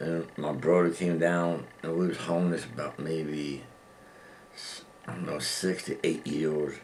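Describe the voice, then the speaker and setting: This man's voice is very deep and low, delivered in a flat monotone. Noticeable background noise and audible room echo come through in the recording. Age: old. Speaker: formerly homeless man. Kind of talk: interview.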